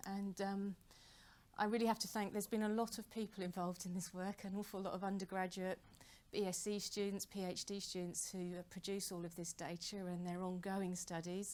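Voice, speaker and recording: Fairly quick speech in a British accent. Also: woman. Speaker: professor and rowing injury researcher. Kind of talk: conference lecture. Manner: fast.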